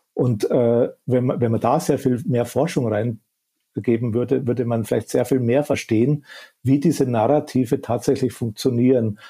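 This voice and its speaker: A man's dark, mellow voice, somewhat breathy, with fairly even intonation and a Bavarian accent. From Upper Bavaria. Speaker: media professor. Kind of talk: expert interview. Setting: remote call.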